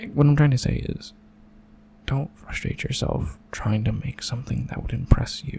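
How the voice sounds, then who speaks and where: Soft-spoken, a man talks at a moderate pace and medium pitch with fairly even intonation. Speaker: ASMR creator, doodle artist. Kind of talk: soft-spoken ASMR drawing commentary.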